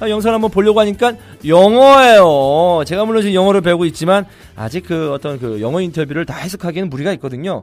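With music in the background, a high-pitched man talks at a very fast pace with lively intonation. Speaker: football commentator and podcast co-host. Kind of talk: casual chat.

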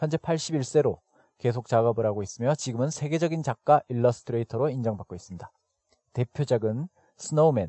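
At a fairly quick pace, a man talks in a somewhat breathy voice of medium pitch with ordinary pitch variation. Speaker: podcast host teaching English expressions. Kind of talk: educational narration with repeat-after-me drills.

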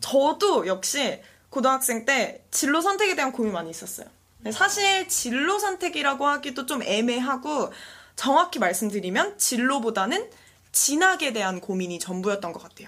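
Her pitch high and swinging very widely, a woman talks at a moderate pace with big swings in loudness. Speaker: social venture founder, youth career speaker. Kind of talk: interview.

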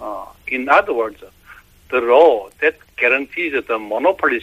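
Here a man speaks with a Korean accent. His pace is fairly slow. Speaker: professor of environmental and marine science. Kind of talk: interview. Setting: phone call. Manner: halting.

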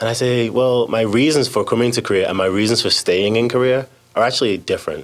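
This man talks at a very fast pace. His pitch is medium and his intonation fairly even. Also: very even loudness. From England. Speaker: English teacher. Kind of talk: casual chat.

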